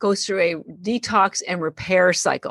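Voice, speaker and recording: Against a quiet background, a woman speaks with ordinary pitch variation in a dry, close sound with no echo. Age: 60s. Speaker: company founder. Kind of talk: interview. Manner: animated.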